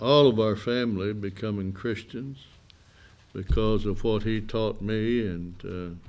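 A man's fairly low voice at a slow pace

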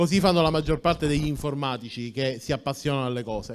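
Lively intonation runs through a man's speech. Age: 40s. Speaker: tech entrepreneur; conference speaker. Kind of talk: conference talk. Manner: halting, many fillers. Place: hall. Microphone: handheld.

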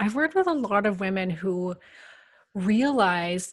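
Somewhat breathy, a woman talks at a medium pitch with ordinary pitch variation. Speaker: podcast host and hormone specialist. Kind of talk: interview.

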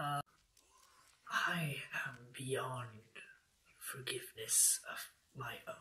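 A man uses a put-on character voice at a fairly high pitch and a very slow pace. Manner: grim, bitter, solemn.

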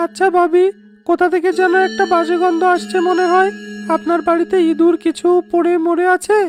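A woman does a cartoonish character voice at a moderate pace, her loudness very even throughout. Music plays in the background, and the sound is dry and close with no echo. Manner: polite.

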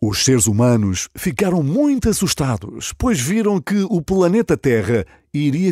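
A man with a European Portuguese accent, high-pitched with very wide pitch swings, at a fairly slow pace, in a dry sound with no echo against a quiet background. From Portugal. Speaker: radio presenter. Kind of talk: children's story read aloud. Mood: warm, smiling. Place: studio.

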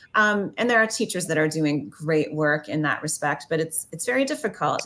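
With a Canadian accent, a woman speaks at a fairly quick pace in a fairly low pitch. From Ontario, Canada. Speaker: historian and author; talk show guest. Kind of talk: interview. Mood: earnest, thoughtful. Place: home room. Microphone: video call.

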